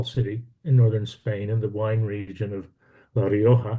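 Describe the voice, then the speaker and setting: In an American accent, a man talks at a moderate pace with a somewhat breathy, dark, mellow tone. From Texas. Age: 70s. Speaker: minister giving a talk. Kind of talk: online lecture. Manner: halting, many fillers and repeats.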